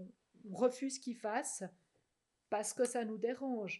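Her tone dark and mellow, a woman speaks at fairly high pitch with ordinary pitch variation. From Switzerland, French-speaking, outside Vaud. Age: 40s. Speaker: social psychology researcher and cantonal MP. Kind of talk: podcast interview. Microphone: too far from the mic at first.

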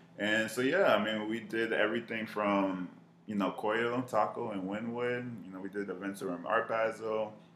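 A man's fairly low, monotone voice with an American accent, flat in intonation at a moderate pace, over noticeable background noise. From Miami, Florida. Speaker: marketing professional. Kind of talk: casual chat.

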